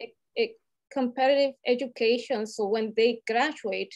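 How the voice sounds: A woman with a Latin American accent, fairly high in pitch, moderate in pace, with ordinary pitch variation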